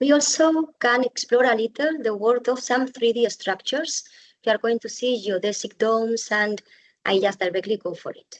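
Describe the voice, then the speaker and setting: An ordinary speaking voice at a moderate pace, with ordinary pitch variation and big swings in loudness. The sound is dry and close, with no echo. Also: woman, fairly high pitch for a woman. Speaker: bamboo architect and builder. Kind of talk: webinar presentation.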